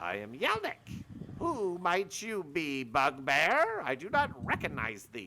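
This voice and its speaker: A man's put-on character voice, fairly high in pitch and at a fairly slow pace. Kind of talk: archaic thee/thou phrasing. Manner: menacing, formal, archaic.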